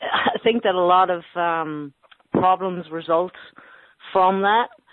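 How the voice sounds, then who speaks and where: With an Irish accent, a woman talks at a very slow pace and with fairly even intonation. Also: medium pitch for a woman. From Ireland, County Sligo. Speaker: youth mentor and boxing coach. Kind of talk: interview.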